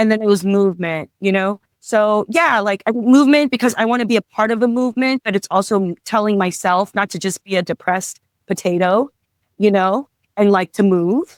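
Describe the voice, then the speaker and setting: In a dry, close sound with no echo, a woman speaks at a medium pitch and moderate pace with ordinary pitch variation. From Los Angeles, California (Torrance). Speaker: comedian. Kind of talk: casual chat.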